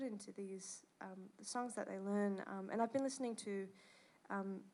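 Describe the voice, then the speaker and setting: A woman speaks with an Australian accent at medium pitch. Her pace is moderate and her intonation fairly even. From Australia (Perth, Western Australia). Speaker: jazz bassist and composer. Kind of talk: interview. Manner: many fillers (um).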